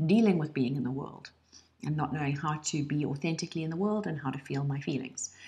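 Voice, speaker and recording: This woman talks at a fairly quick pace in a South African accent, her pitch very deep and low. Her voice is somewhat breathy, with ordinary pitch variation. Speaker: online course instructor, lawyer trainer and coach. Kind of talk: personal introduction video.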